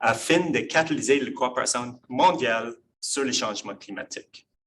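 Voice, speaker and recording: A man's medium-pitched voice with an English accent, bright, sharp tone and very slow pace. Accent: English-speaker accent in French. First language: English (speaking French). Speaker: professor. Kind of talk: lecture. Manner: halting.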